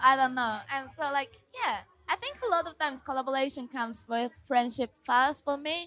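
In a Japanese accent, a woman projects a raised voice with a bright, sharp tone, high pitch, ordinary pitch variation and a moderate pace. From Japan (Tokyo). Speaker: musician. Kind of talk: interview. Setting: backstage at music festival.

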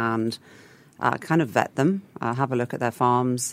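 With an English accent, a woman speaks at a fairly quick pace in a very deep, low pitch. Her pitch variation is ordinary. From England. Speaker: food business founder. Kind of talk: radio interview. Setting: radio studio.

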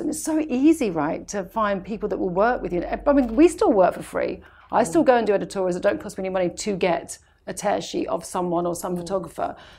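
A woman with a British accent talks at a very fast pace with lively intonation and a dark, mellow tone. The recording is very clean, with a silent background. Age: 40s. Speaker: makeup artist. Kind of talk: casual chat.

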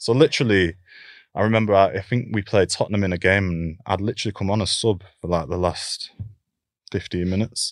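With a Lancashire accent, a man talks at a fairly quick pace in a fairly low pitch with ordinary pitch variation, on a very clean recording with a silent background and a dry, close sound with no echo. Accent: Lancashire (Bolton) English. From northern England, Bolton. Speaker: professional footballer. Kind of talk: casual interview.

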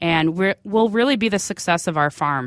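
A woman with an Upper Midwest accent speaks at a fairly low pitch. The recording is very clean with a silent background. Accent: Upper Midwest (Minnesota). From central Minnesota. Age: 30s. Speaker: hog farmer. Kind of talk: interview.

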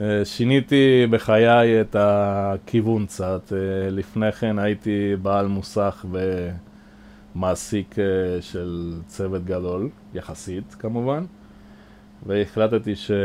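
A man talks at a very slow pace in a fairly low pitch. His intonation stays fairly even. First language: Spanish (speaking Hebrew). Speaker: boat maintenance manager. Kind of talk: interview. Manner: hesitant with fillers.

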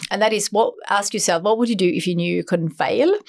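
Noticeable background noise runs under a woman's voice. She speaks at a medium pitch with ordinary pitch variation. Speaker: entrepreneur and author. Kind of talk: interview. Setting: studio.

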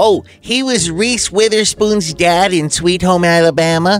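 A man speaks at a fairly slow pace in a put-on character voice. His pitch sits high for a man. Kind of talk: comic overacting. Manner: cranky, saucy, dismissive.

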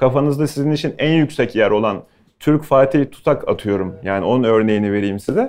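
Here is a man with an unremarkable speaking voice, pitched at a medium level. He talks at a fairly quick pace with lively intonation over a quiet background. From Bursa, Turkey. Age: 30s. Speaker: chef. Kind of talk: talk to students with Q&A.

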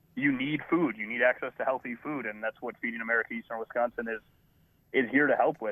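A man's medium-pitched voice, very fast pace and fairly even intonation. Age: 30s. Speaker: food bank representative. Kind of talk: radio interview.

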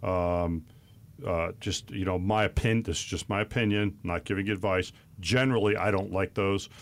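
A man speaks at a moderate pace with fairly even intonation and a fairly low pitch, in an unremarkable speaking voice. The recording is very clean, with a silent background. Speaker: financial advisor. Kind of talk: radio talk show discussing finance. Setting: studio.

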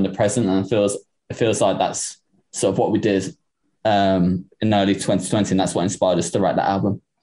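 A man with an English accent speaks in a fairly low voice with a dark, mellow tone and monotone, flat intonation. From Liverpool, England. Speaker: drummer in a rock band. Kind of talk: interview. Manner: hesitant, many fillers.

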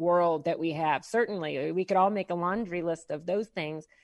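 Woman with an unremarkable speaking voice and ordinary pitch variation, against a quiet background. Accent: American. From Midwest US, St. Louis, Missouri. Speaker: business coach. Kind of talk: radio interview.

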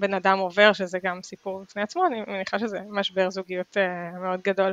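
The sound is dry and close, with no echo. A woman talks in a normal speaking voice at medium pitch. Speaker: podcast host. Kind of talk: interview conversation.

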